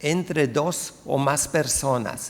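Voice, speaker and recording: Recorded very cleanly with a silent background, a man with a non-native accent speaks at a fairly high pitch with ordinary pitch variation. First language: not Spanish (speaking Spanish). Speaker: sociolinguistics researcher. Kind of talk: conference talk. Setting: lecture hall with audience. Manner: hesitant, many fillers.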